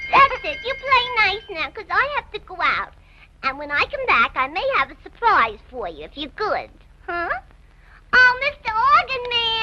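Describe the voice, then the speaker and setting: A female-sounding cartoonish character voice goes at a moderate pace, hitting an extremely high pitch with very wide pitch swings. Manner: sweet, gentle, coaxing.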